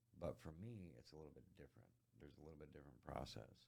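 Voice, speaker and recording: Soft-spoken, a man talks with a very deep, low pitch. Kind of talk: interview answer.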